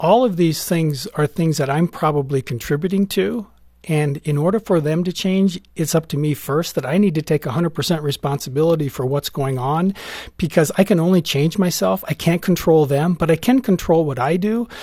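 An ordinary speaking voice from a man, fairly high in pitch, at a moderate pace with ordinary pitch variation, dry and close with no echo. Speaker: parenting expert. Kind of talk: interview discussion about parenting.

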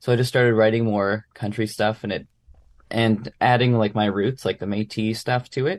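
In a Manitoban accent, a man talks at medium pitch and a moderate pace with fairly even intonation against a quiet background. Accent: Canadian (Manitoba). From Brandon, Manitoba, Canada. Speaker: musician. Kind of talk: interview.

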